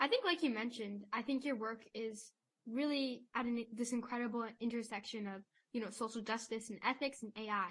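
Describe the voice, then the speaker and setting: A woman with an unremarkable speaking voice talks at a fairly high pitch and a fairly quick pace. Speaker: podcast co-host. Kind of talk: interview.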